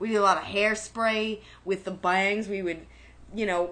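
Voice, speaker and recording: In a strong New York accent, the speaker talks at a fairly slow pace with monotone, flat intonation and a bright, sharp tone. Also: woman. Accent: New York, heavy. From Brooklyn, New York. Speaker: podcast co-host. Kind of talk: casual chat.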